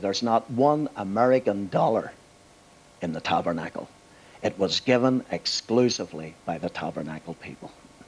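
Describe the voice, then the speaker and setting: The speaker has a Belfast accent and lively intonation. The pace is moderate. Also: man. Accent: Belfast Northern Irish. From Northern Ireland, Belfast. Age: 60s. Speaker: pastor. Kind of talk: TV interview.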